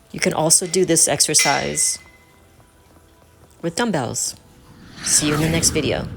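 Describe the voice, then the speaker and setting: Long, frequent pauses break up speech with an American accent as music plays in the background. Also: woman, moderate pace. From United States, North Carolina. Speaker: personal trainer and fitness instructor. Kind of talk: fitness instruction video to camera. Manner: clear, instructive.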